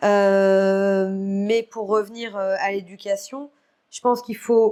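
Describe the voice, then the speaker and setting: A dark, mellow tone over a quiet background. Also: woman. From Guadeloupe. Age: 30s. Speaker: retired freestyle skier. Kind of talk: podcast interview. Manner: hesitant, many fillers.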